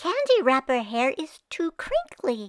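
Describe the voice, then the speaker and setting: A woman does a squeaky, put-on character voice at an extremely high pitch, with very wide pitch swings. Her pace is fairly slow. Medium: read story.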